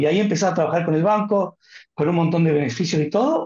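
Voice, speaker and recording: This man's voice sits high in pitch. He is the only speaker heard. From Argentina, Córdoba. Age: 50s. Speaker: family finance adviser. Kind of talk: webinar Q&A.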